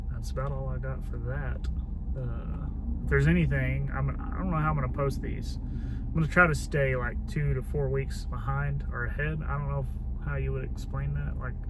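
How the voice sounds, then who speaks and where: In a room with audible echo and noticeable background noise, a man with a Southern US accent speaks in a very deep, low, monotone, flat voice. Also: moderate pace. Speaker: homesteading vlogger. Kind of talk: casual vlog talk. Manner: loud.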